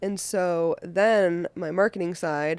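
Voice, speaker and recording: A woman's ordinary speaking voice, fairly low in pitch with fairly even intonation, on a very clean recording with a silent background and a dry, close sound with no echo. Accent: American. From Boston. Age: 20s. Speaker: events company founder. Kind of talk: casual chat.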